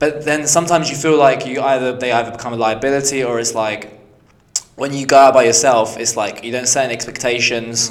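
Very fast and fairly even in intonation, a man talks with big swings in loudness, amid noticeable background noise and audible room echo. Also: medium pitch for a man. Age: 20s. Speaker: podcast co-host. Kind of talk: casual chat.

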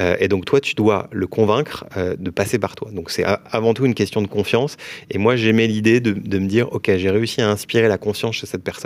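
A man with a normal speaking voice talks at a fairly quick pace. His pitch is fairly low, and his intonation stays fairly even. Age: 30s. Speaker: mortgage broker, company founder. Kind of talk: casual interview.

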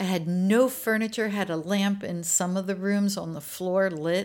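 A woman speaks with an American accent. Her pitch sits in the middle range. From Maryland, US. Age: 60s. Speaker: innkeeper and energy healer. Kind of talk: casual chat.

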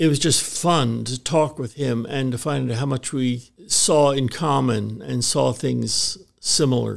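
A man with an American accent speaks at a medium pitch and a very slow pace, with hardly any pauses and ordinary pitch variation. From Baltimore, US Mid-Atlantic. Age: 80s. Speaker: retired missionary and former church staff member. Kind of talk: interview, storytelling.

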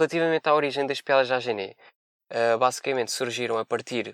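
On a very clean recording with a silent background and a dry, close sound with no echo, a man talks at a fairly quick pace and medium pitch. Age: 20s. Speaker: veterinary student. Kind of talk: comedy segment with jokes.

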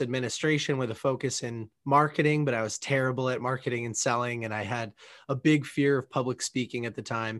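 At a fairly quick pace, a man with an American accent talks in a medium pitch with flat, monotone intonation. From Massachusetts, south of Boston. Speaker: entrepreneur, book community founder. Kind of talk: casual interview.

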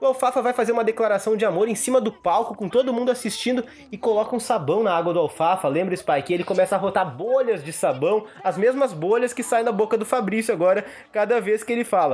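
Over noticeable background noise, a man talks at a very fast pace in a high voice with ordinary pitch variation. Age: 20s. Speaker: film podcast host. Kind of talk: casual chat.

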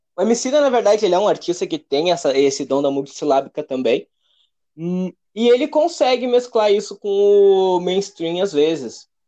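A man with a southern Brazilian accent speaks in a dark, mellow tone at a high pitch, his voice swinging very widely in pitch against a quiet background. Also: moderate pace. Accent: gaúcho. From Rio Grande do Sul, Brazil (Alvorada, Porto Alegre area). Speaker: rapper and music producer. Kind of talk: casual interview.

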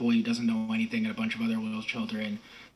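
Noticeable background noise runs under a man who talks with ordinary pitch variation. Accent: American. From Massachusetts, US. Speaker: writer and podcaster. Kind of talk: casual interview conversation. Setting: video call from Spain.

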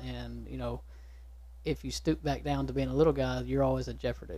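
Speaking at a fairly quick pace, a man talks with a Texan accent. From East Texas. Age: 20s. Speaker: small business owner. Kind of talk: casual chat. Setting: studio.

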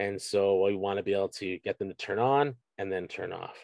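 Here a man speaks at a fairly low pitch with fairly even intonation. The sound is dry and close with no echo, against a quiet background. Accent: Canadian. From Canada, Scarborough, Ontario. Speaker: strength coach and university teacher. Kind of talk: casual interview chat. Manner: halting, many repeated words and fillers.

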